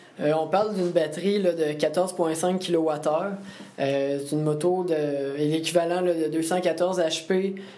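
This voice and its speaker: Over noticeable background noise and audible room echo, a man speaks at a very slow pace with a fairly high pitch, fairly even intonation and very even loudness. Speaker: engineering student. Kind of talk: interview.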